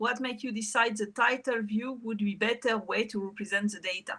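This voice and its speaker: A woman with a French accent speaks at a moderate pace in a fairly high pitch, her tone bright and sharp and her intonation fairly even. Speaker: meetup organizer. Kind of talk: moderating Q&A.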